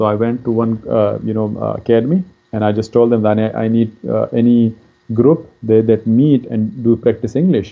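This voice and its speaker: A man in a Pakistani accent speaks at a medium pitch with fairly even intonation. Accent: Pakistani (Pashtun) English. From Pakistan, Pashtun. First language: Pashto. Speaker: career counselor. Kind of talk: lecture. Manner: halting, many fillers.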